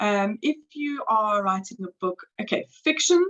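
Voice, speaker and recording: Recorded with a dry, close sound and no echo, a woman speaks in a somewhat breathy voice at medium pitch with lively intonation. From South Africa, Cape Town. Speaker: book editor and English tutor. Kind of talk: interview.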